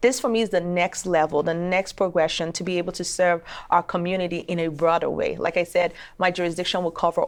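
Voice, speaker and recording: A woman speaks in a Nigerian accent at a fairly low pitch. The recording is very clean, with a silent background. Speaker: attorney and judicial candidate. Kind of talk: interview.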